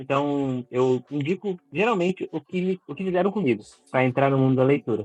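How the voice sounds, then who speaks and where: With an unremarkable speaking voice, a man talks at a moderate pace with lively intonation, and the sound is dry and close with no echo. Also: fairly high pitch for a man. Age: 20s. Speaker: book content creator. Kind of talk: casual interview.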